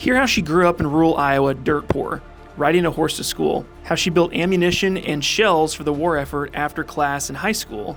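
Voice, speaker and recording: A man at a fairly high pitch, with music in the background. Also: ordinary pitch variation, moderate pace, hardly any pauses. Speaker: podcast host. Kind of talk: podcast intro read.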